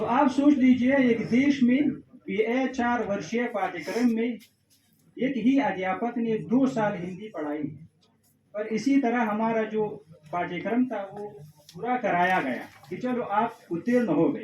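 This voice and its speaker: Ordinary pitch variation runs through a man's high voice. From Afghanistan. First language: Pashto (speaking Hindi). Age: young. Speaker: Hindi lecturer and PhD researcher. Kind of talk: formal speech at an event. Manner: formal.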